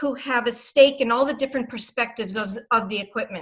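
A woman with a Boston accent and ordinary pitch variation. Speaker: RCM trainer and consultant. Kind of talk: panel discussion, live webinar Q&A. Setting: video call webinar.

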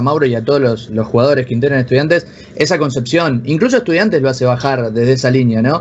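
With a normal speaking voice, a man talks at medium pitch with ordinary pitch variation. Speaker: esports club manager. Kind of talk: casual interview.

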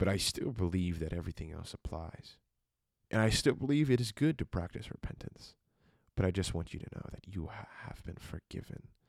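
Dry and close with no echo, a man's very deep, low voice carries lively intonation and big swings in loudness. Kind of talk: sermon-like devotional monologue. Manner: quiet, slow, deliberate; earnest, sermonizing.

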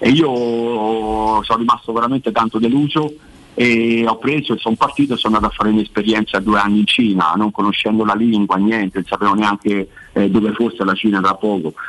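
An ordinary speaking voice from a man, fairly low in pitch, at a fairly quick pace with fairly even intonation. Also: very even loudness. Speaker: football coach. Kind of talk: radio interview about football.

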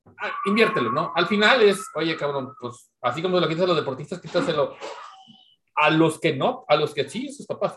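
In a Mexican accent, a man with a high pitch and a bright, sharp tone speaks at a moderate pace with lively intonation. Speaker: podcast co-host. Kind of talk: casual chat.

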